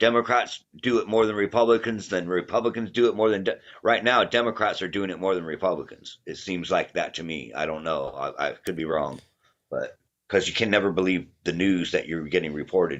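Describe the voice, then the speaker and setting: A man with a fairly low pitch talks at a fairly quick pace with ordinary pitch variation. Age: 60s. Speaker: caller. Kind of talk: live call-in debate. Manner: halting, repetitive.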